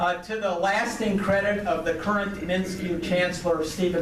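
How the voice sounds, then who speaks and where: With audible room echo and noticeable background noise, a high-pitched man speaks at a fairly slow pace in monotone, flat intonation. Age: 60s. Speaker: business association speaker. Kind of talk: speech to a club audience. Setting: podium at club meeting. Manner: hesitant with frequent fillers.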